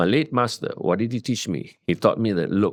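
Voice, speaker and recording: Lively in intonation but fairly slow in pace, a man of medium pitch uses a normal speaking voice on a very clean recording with a silent background. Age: 60s. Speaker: leadership coach and media veteran. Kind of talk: interview.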